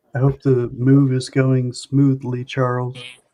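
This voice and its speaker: A dark, mellow tone comes through with an American accent. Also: man. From Oklahoma, Tulsa. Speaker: live-stream community regular. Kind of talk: casual chat.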